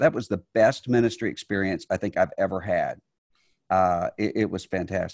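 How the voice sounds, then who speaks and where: A man with an American accent speaks in a plain, everyday voice at a fairly low pitch. The recording is very clean, dry and close, with a silent background and no echo. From US Gulf Coast Mississippi. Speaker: religious leader and author. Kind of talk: interview conversation.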